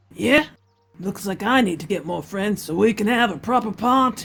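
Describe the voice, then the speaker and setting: At a moderate pace, a woman puts on a character voice pitched in the medium range. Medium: game stream. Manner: blunt, curt, menacing.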